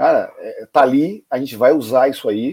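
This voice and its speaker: The man's voice has a dark, mellow tone and a fairly high pitch. He speaks at a fairly slow pace. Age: 50s. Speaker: football club presidential candidate. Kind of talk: interview.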